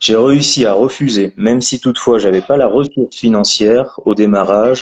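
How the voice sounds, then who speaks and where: At a fairly slow pace, a man talks with an ordinary speaking voice and fairly even intonation. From France, Périgord. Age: 30s. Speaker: landscaping entrepreneur. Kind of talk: interview.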